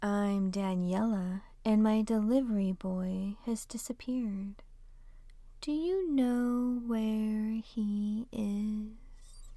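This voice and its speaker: Speaking very slowly, a woman puts on a character voice pitched fairly high. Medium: read story. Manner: blunt, unsmiling.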